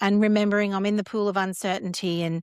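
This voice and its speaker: A woman of medium pitch talks with an Australian accent, the sound dry and close with no echo. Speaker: cancer survivor and wellness founder. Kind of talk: podcast interview. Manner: loud, energetic.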